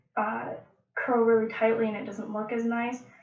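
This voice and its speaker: Light background noise and audible room echo surround the woman as she speaks. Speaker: hair tutorial host. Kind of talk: tutorial. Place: bathroom. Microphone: webcam.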